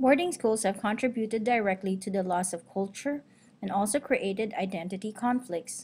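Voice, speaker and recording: In a Filipino accent, a woman speaks somewhat breathily at a fairly quick pace, with medium pitch and ordinary pitch variation. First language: Tagalog. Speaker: teacher and student. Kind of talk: class presentation. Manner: formal.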